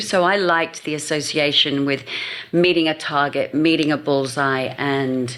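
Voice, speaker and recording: Speaking at a moderate pace with fairly even intonation, a woman talks in an English accent. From England. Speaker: marketing agency founder. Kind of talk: podcast interview.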